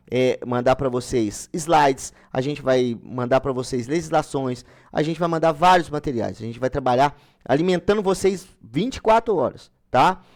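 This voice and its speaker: On a very clean recording with a silent background, a man varies his pitch in an ordinary way. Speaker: online exam-prep mentor. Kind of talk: live-stream sales pitch and course explanation. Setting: live stream. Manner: fast.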